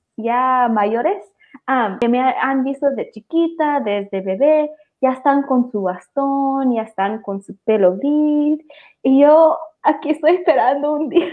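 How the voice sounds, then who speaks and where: A woman speaks at a high pitch and a very slow pace. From Maryland, US, Salvadoran parents. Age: 20s. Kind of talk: casual livestream conversation.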